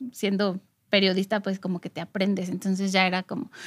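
With a Mexican accent, a woman's voice comes through dry and close with no echo. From Mexico, Morelia. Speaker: podcast co-host, former journalist. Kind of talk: casual chat.

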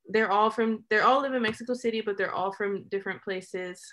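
Fairly quick and fairly high, a woman's voice with an American accent keeps a fairly even intonation. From California, US. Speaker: documentary filmmaker. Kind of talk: interview.

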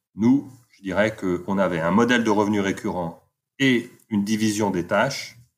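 A man's unremarkable speaking voice, fairly low in pitch with ordinary pitch variation, in a very clean recording with a silent background. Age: 50s. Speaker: entrepreneur and author. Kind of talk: interview.

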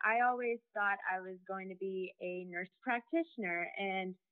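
Speaking with an American accent, a woman has a normal speaking voice, a medium pitch and fairly even intonation. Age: young. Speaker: student. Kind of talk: interview.

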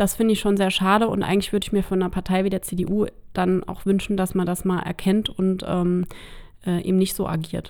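At a fairly quick pace, a woman speaks at a medium pitch with monotone, flat intonation. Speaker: local politician. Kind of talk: podcast interview.

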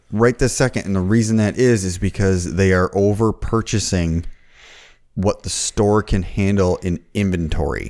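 An unremarkable speaking voice from a man, fairly low in pitch, with fairly even intonation at a moderate pace. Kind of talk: casual chat. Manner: profane, casual banter.

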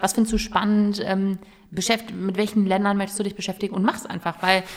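A woman's medium-pitched voice in a monotone, flat delivery at a very fast pace, with noticeable background noise. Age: 20s. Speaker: youth politician. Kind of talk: casual interview. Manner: hesitant, many fillers.

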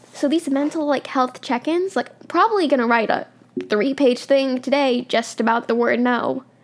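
A woman with a high voice and ordinary pitch variation talks while noticeable background noise runs beneath her. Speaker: podcast host. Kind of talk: personal vlog-style monologue. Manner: halting, hesitant.

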